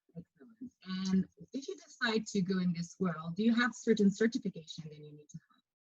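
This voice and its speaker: A woman speaks at a fairly quick pace with lively intonation and a somewhat breathy voice. The sound is dry and close, with no echo. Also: medium pitch for a woman. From Quebec, Montreal. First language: French. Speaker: yacht stewardess and massage therapist. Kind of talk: interview.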